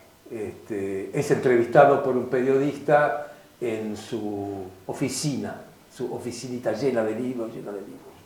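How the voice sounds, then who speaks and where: Noticeable background noise and audible room echo surround a man speaking at a fairly slow pace. His intonation stays fairly even while his loudness swings widely. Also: medium pitch for a man. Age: 70s. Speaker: philosopher and writer. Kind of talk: interview.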